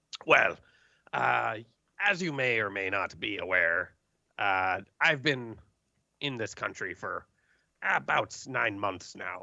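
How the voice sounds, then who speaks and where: Using a put-on character voice, a man talks raspy and at a fairly low pitch, keeping a fairly slow pace with long, frequent pauses. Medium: actual play. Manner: folksy, hesitant.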